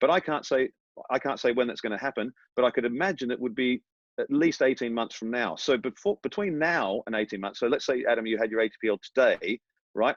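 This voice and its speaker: Very fast speech from a man with an Australian accent, medium in pitch with lively intonation, in a dry, close sound with no echo. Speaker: airline training captain. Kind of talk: interview.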